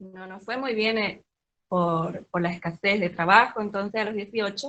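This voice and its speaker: A woman at a moderate pace, medium in pitch with ordinary pitch variation. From Paraguay (Pilar). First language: Guaraní (speaking Spanish). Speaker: Guaraní language teacher. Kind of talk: reading aloud a prepared talk.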